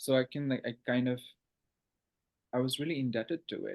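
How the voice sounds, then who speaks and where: Very fast speech with an Assam accent. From Northeast India, Assam (Guwahati). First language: Assamese. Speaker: writer and PhD student. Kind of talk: casual interview chat. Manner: halting, many fillers.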